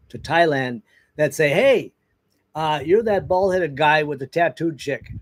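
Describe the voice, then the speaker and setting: A man with an American accent uses a normal speaking voice at a fairly high pitch, with ordinary pitch variation and a dry, close sound with no echo. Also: very clean recording, silent background. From US Midwest, northern Wisconsin. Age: 60s. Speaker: sailing vlogger. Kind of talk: casual chat. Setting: livestream.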